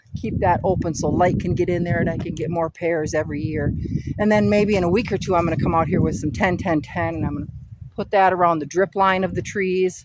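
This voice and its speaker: Amid noticeable background noise, a woman with a fairly low pitch talks at a very fast pace with ordinary pitch variation. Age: 60s. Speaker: author and gardening vlogger. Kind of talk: casual chat. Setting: outdoors. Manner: relaxed, conversational.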